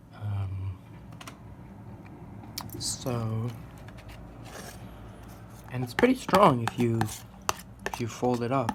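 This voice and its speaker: The speaker is soft-spoken, moving at a very slow pace with long, frequent pauses. Background noise is noticeable. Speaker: amateur artist and martial arts practitioner. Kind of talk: soft-spoken musing while drawing.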